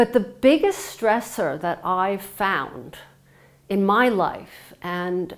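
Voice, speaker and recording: In a very clean recording with a silent background, a speaker with an American accent talks very slowly with ordinary pitch variation. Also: woman. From United States. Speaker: psychotherapist and yoga teacher. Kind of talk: talk to a company audience. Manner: halting, many fillers.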